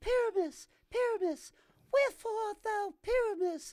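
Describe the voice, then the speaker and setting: A put-on character voice from a man, extremely high in pitch, at a moderate pace. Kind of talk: theatrical, Shakespearean.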